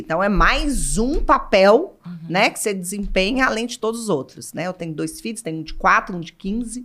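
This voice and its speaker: A woman's bright, sharp tone with big swings in loudness and hardly any pauses. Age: 40s. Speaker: brand executive. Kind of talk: casual chat.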